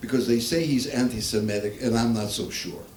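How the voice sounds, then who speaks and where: With an American accent and lively intonation, a man talks at a moderate pace and medium pitch. Noticeable background noise and audible room echo are present. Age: 80s+. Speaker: comedian. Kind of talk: stand-up. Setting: stage with audience.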